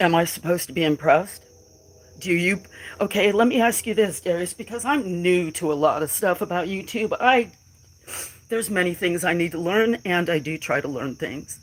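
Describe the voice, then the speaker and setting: The speaker has an American accent and talks at a moderate pace on a very clean recording with a silent background. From western US. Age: 60s. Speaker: farmer and livestreamer. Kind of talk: casual live stream chat. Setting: live stream. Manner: halting.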